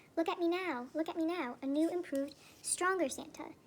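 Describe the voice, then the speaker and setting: A woman's put-on character voice, squeaky and extremely high, at a fairly quick pace with fairly even intonation. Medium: read story.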